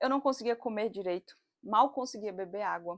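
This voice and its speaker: A woman with a normal speaking voice talks at medium pitch with ordinary pitch variation, on a very clean recording with a silent background. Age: 30s. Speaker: psychologist and doula. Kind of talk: casual talk to camera. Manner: chatty, expressive.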